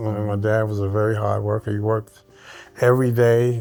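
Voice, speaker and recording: A man talks at a moderate pace in a New York accent. His pitch is medium, and music plays in the background. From Brooklyn, New York. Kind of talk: interview answer.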